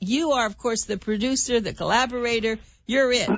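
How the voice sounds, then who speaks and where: A woman has a normal speaking voice with a fairly high pitch. She talks at a moderate pace. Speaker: radio show host. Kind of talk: radio interview.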